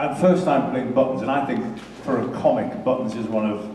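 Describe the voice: A man talks at a moderate pace with a medium pitch and ordinary pitch variation. His tone is dark and mellow, with audible room echo.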